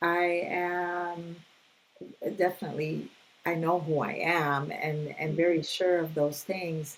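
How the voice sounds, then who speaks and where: Amid audible room echo, a woman speaks very slowly at a fairly low pitch in a flat monotone, with long, frequent pauses. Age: 60s. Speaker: mental health counselor. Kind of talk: casual interview conversation.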